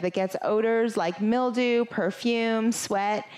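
The background is quiet as a woman talks fairly slowly. Her pitch varies in an ordinary way. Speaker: yoga instructor. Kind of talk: sponsor intro then class introduction. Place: home room. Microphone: headset.

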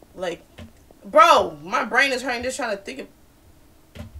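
Her voice swings very widely in pitch as this woman speaks. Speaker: gamer streamer. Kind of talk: casual gameplay commentary. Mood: puzzled, mildly frustrated.

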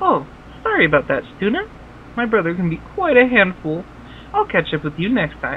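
A cartoonish, female-sounding character voice at a moderate pace with long, frequent pauses and clear background noise. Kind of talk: kids' edutainment game voice. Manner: friendly, then stern.

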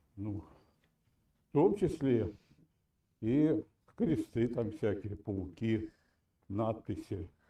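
A man with a dark, mellow tone and a somewhat breathy voice speaks at a very slow pace. His intonation is lively, broken by long, frequent pauses. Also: medium pitch for a man. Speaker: caller. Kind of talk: heated debate. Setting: video call. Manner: halting.

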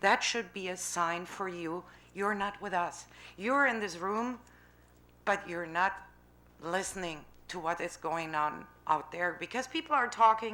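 A woman's bright, sharp voice in a German accent, fairly slow with long, frequent pauses, ordinary pitch variation and audible room echo. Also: medium pitch for a woman. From Germany. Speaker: citizen speaking at council. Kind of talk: public comment at city council meeting. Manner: halting.

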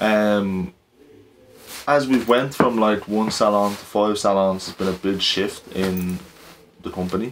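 A man with a Dublin accent, fairly low pitch, fairly even intonation and a fairly slow pace, over light background noise. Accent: Irish (Dublin). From Ireland. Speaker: barbershop business owner. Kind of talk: team meeting and vlog narration. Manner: casual, filler-heavy. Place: office.

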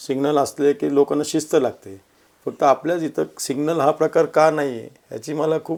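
A man with a fairly high pitch and a dark, mellow tone, his intonation fairly even. The recording is very clean, with a silent background. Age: 50s. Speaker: social worker and local election candidate. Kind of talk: interview. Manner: calm, measured.

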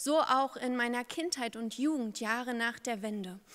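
Speaking at a very slow pace, a woman has a high-pitched voice. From eastern Germany, Brandenburg (Uckermark); Brandenburg, Germany. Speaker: pastor. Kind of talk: candidacy speech to a church synod. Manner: formal. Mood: earnest, confident. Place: hall. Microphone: podium.

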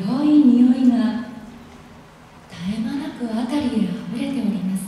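A woman speaks at a high pitch with ordinary pitch variation. Strong room echo surrounds her voice. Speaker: voice actor. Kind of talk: live literary reading aloud. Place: hall. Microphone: camera far.

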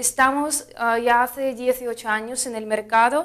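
Against a quiet background, a woman with a Russian accent speaks at a very slow pace. Her intonation stays fairly even. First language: Russian (speaking Spanish). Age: 20s. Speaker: fruit importer representative. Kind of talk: interview. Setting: trade fair. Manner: halting, many fillers. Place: studio.

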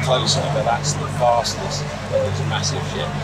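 Loud background noise behind a man talking at a fairly quick pace. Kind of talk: interview answer. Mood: cheerful, enthusiastic. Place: boat. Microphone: handheld.

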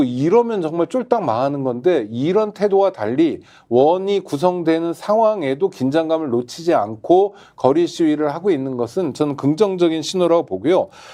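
Lively intonation carries this dark, mellow voice at a moderate pace. The background is quiet. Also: man. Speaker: political commentator. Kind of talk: political commentary discussion.

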